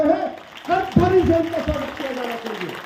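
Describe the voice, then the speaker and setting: A man speaks loudly at an extremely high pitch with ordinary pitch variation. Crowd noise fills the background, and the room echoes audibly. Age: 60s. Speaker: politician. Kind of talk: political speech.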